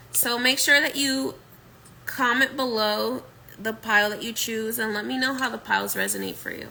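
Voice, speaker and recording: A woman's bright, sharp, fairly high voice at a moderate pace with fairly even intonation. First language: Spanish. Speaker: tarot reader and spiritual medium. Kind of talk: pick-a-card tarot reading. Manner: casual, repetitive.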